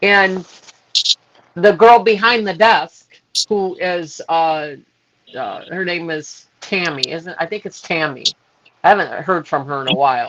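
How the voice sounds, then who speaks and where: A woman with an American accent speaks at a fairly slow pace and a fairly low pitch, with ordinary pitch variation and long, frequent pauses. Her loudness swings widely. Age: 60s. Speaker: health product distributor. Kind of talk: testimony. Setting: social media live video.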